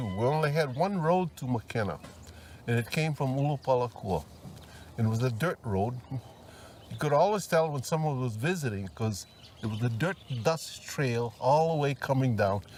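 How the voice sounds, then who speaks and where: Speaking with a Hawaiian accent at a moderate pace, a man uses a medium pitch and lively intonation, with long, frequent pauses. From Maui, Hawaii. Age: 80s+. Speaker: retired farmer. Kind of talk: oral history interview.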